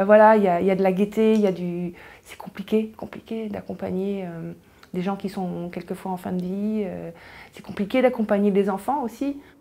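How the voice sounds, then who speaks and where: A woman's medium-pitched voice at a moderate pace, with fairly even intonation and big swings in loudness. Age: 60s. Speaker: cancer patient. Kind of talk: testimony. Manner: halting.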